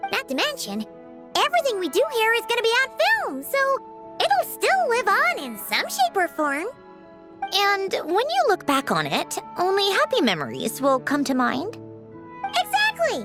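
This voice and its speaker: A put-on character voice at an extremely high pitch, with clear music playing in the background. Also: moderate pace. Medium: machinima. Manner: chatty, expressive.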